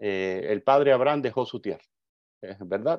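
Moderate pace, ordinary pitch variation, and an ordinary speaking voice. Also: man. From Cuba. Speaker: migration advocate. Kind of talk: interview.

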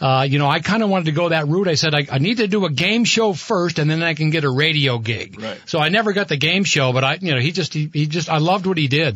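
Over noticeable background noise, a man with a fairly high pitch talks very fast with hardly any pauses, keeping his loudness very even while his intonation stays lively. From Vermont, Burlington. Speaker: radio host. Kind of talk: casual chat; sponsor reads.

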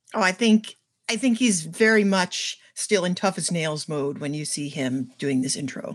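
In an unremarkable speaking voice, a woman talks at a moderate pace with fairly low pitch and lively intonation. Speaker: reality TV panelist. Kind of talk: casual podcast chat.

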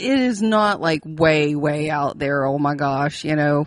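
In an Appalachian accent, a woman with a very deep, low pitch speaks at a very slow pace with ordinary pitch variation. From West Virginia. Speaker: podcast co-host. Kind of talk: casual chat.

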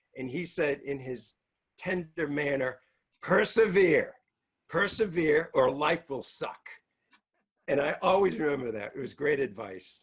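In a Boston accent, a man with a fairly high pitch and a somewhat breathy voice speaks at a fairly slow pace with long, frequent pauses. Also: lively intonation. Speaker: comedian. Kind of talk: stand-up.

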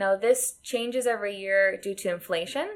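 Speaking at a fairly slow pace, a woman with an American accent uses an ordinary speaking voice with a fairly high pitch, in a very clean recording with a silent background. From United States. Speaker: podcast co-host. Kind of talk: casual chat.

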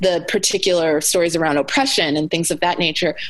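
A woman's fairly low voice with an American accent, at a moderate pace, over noticeable background noise. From Alaska (Anchorage), US. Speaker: author and speaker. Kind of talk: interview conversation.

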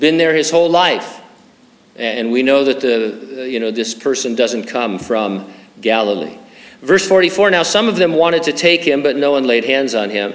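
A man with an American accent speaks at a moderate pace. Noticeable background noise and audible room echo surround him. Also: medium pitch for a man, lively intonation. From Southern California, San Bernardino. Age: 60s. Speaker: pastor. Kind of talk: sermon.

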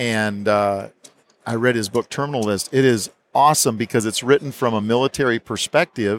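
A man with an ordinary speaking voice, medium pitch, ordinary pitch variation and moderate pace in a dry, close sound with no echo. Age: 50s. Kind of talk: casual interview. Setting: expo booth.

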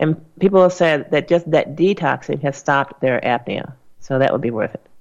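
A woman speaks in a plain, everyday voice. Her pace is moderate and her pitch varies in an ordinary way. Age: 60s. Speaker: radio health host and doctor. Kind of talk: call-in radio show.

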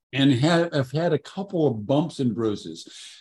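His voice has a dark, mellow tone and a fairly high pitch, and this man's pitch swings very widely. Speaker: podcast host. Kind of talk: interview intro and questions.

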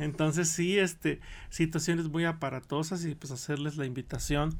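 A man's fairly high-pitched, ordinary speaking voice at a moderate pace, in a very clean recording with a silent background. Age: 40s. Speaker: medical doctor. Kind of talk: radio interview. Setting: radio studio.

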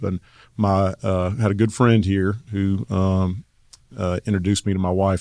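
A man's very deep, low voice with a Southern US accent, dark, mellow tone and fairly even intonation, on a very clean recording with a silent background. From North Carolina (Asheville). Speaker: construction company executive. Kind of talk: casual interview.

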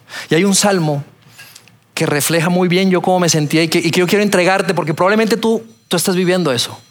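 Over noticeable background noise, a man with a high pitch speaks at a fairly quick pace. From Colombia, Bogotá. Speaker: pastor. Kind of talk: sermon. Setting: church auditorium with audience.

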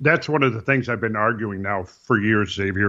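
A man with an American accent talks at a moderate pace, his pitch rising and falling in an ordinary way. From rural Minnesota. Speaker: researcher and architectural designer. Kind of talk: interview conversation. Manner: halting with frequent repetitions.

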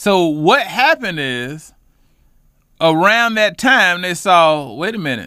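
High-pitched and bright, sharp in tone, a man speaks with an American accent. His intonation is lively. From Charlotte, North Carolina, West Side. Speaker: housing fair organizer and community advocate. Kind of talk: casual interview.

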